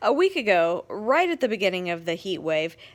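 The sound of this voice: An unforced reading voice is heard here. It carries through the whole clip.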